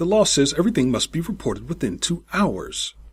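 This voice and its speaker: In a very clean recording with a silent background, a man puts on a gruff, growling character voice at a high pitch and a fairly quick pace. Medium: read story.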